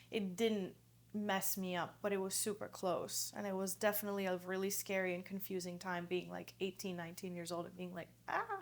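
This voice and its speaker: With a Greek accent, a woman speaks at a medium pitch and a fairly quick pace, her intonation monotone and flat. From Greece, moved to US at 10. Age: 30s. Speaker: yoga teacher. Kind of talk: podcast interview.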